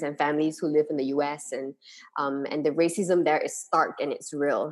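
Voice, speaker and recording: Very deep, low pitch from a woman at a moderate pace, on a very clean recording with a silent background. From Malaysia. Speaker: guest, host's sister. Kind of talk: casual conversation. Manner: hesitant, many fillers.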